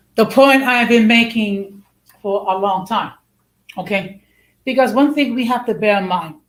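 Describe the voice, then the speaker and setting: A woman with an American accent, fairly high in pitch and somewhat breathy, at a moderate pace with ordinary pitch variation and long, frequent pauses. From United States. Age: 60s. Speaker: online show host. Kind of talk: live stream talk, partly reading research aloud. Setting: live stream. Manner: halting, with many restarts and fillers.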